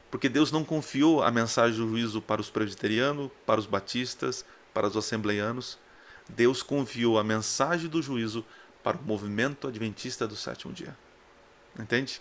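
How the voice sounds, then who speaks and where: He is a man with a normal speaking voice, pitched medium. His pace is moderate and his pitch varies in an ordinary way. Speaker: preacher. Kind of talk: sermon.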